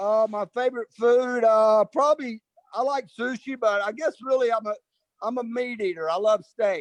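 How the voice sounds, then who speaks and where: In a dry, close sound with no echo, a man with an Atlanta accent and an extremely high pitch speaks at a moderate pace. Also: ordinary pitch variation. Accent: Southern US (Atlanta). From US South, Atlanta. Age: 60s. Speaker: hairdresser, salon owner. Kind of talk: casual interview chat.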